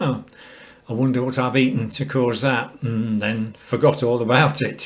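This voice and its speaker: Man with an English accent, medium pitch, fairly even intonation and a moderate pace. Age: 70s. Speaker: cancer patient sharing experience. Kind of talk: personal testimony. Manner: calm, measured.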